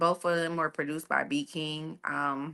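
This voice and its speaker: The voice carries a slight country accent. Its pace is moderate. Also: woman. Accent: slight country twang. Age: 30s. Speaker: entertainment media personality. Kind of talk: casual chat.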